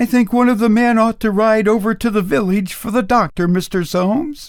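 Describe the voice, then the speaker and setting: A man does a put-on character voice, pitched high and delivered at a moderate pace, in a very clean recording with a silent background. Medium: read story.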